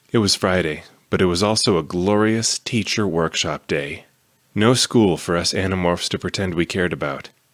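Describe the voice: It is plain reading aloud. Nothing more is added to the reading.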